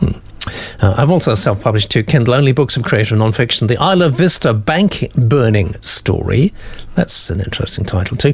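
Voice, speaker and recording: Noticeable background noise behind a man of medium pitch, fairly quick in pace and lively in intonation. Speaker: literary agent hosting a manuscript critique show. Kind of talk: live online discussion. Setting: video call. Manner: animated.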